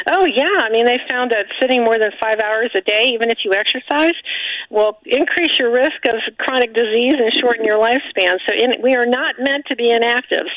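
A woman talks at a fairly quick pace in a high pitch. Noticeable background noise runs underneath. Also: ordinary pitch variation, very even loudness. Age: 60s. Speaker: physician and former surgeon. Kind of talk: radio interview.

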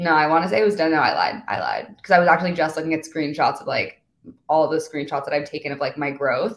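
Animated in tone, a woman speaks at a very fast pace in a very deep, low pitch with ordinary pitch variation. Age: 20s. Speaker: TikTok influencer and model. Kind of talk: casual chat.

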